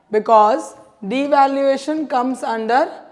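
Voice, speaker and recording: A woman speaks with ordinary pitch variation, with audible room echo and noticeable background noise. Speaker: economics teacher. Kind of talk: lecture.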